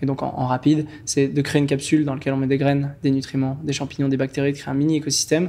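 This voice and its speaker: A man speaks in a monotone with flat intonation. His pitch sits fairly high for a man. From French Guiana. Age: 20s. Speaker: entrepreneur. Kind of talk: podcast interview. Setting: studio. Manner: hesitant, many fillers.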